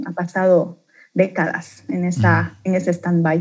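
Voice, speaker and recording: Somewhat breathy, a woman's voice carries a dark, mellow tone. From Bolivia, Beni and La Paz, raised in Santa Cruz. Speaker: leader of a faith-based support organization. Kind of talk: podcast interview, personal testimony. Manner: animated.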